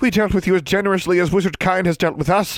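Putting on a character voice, a man speaks very fast in a raised, projected voice pitched high for a man. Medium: read story. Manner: formal, stilted phrasing.

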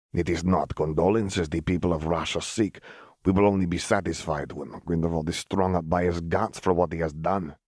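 A man's gruff, put-on character voice, very deep and low in pitch, at a fairly quick pace. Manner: gruff, stern, proud.

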